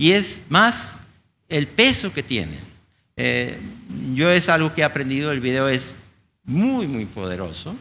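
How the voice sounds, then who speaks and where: A man speaks at a fairly slow pace with very wide pitch swings. His tone is bright and sharp. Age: old. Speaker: infectious disease physician; conference lecturer. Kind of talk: conference talk. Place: hall.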